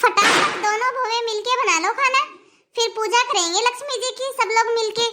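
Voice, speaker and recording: A woman's cartoonish character voice, extremely high in pitch, at a moderate pace with fairly even intonation. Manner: warm, affectionate.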